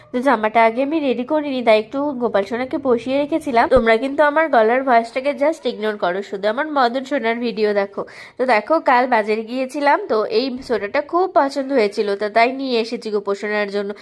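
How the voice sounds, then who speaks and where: The voice has a gentle tone and ordinary pitch variation. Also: woman, high pitch for a woman. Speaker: devotional vlogger. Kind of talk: devotional vlog narration. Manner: affectionate, gentle.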